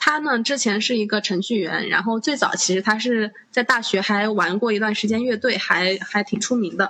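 Noticeable background noise sits behind a woman speaking at a moderate pace with hardly any pauses. Her pitch is fairly high, with ordinary variation and very even loudness. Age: 20s. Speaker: podcast host. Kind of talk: casual chat.

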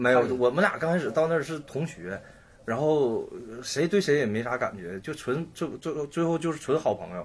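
This man's voice sits fairly high in pitch and sounds somewhat breathy. His intonation is lively. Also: moderate pace. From Shenyang, Liaoning, northeast China. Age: 30s. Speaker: painter. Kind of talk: casual chat.

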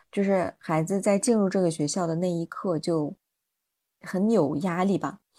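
The voice has a dark, mellow tone and ordinary pitch variation at a moderate pace. The sound is dry and close with no echo, in a very clean recording with a silent background. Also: woman, medium pitch for a woman. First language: not Chinese (speaking Chinese). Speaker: podcast host, mother and educator. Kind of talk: casual chat.

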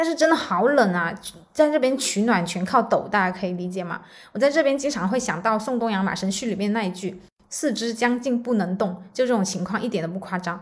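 A somewhat breathy woman's voice, fairly high in pitch, with lively intonation, big swings in loudness and a fairly quick pace. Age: 20s. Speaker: podcast host. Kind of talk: solo podcast monologue.

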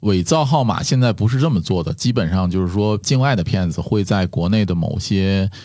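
Over a very clean recording with a silent background, a man speaks in a dark, mellow tone with ordinary pitch variation. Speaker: podcaster. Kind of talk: casual chat.

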